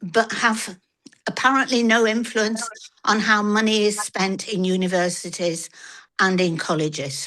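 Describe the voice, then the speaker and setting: A woman speaks at medium pitch with a bright, sharp tone. Her pace is fairly slow, and her pitch varies in an ordinary way. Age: 80s+. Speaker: audience member, peace activist. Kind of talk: question from the floor. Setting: online video meeting. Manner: hesitant, many fillers.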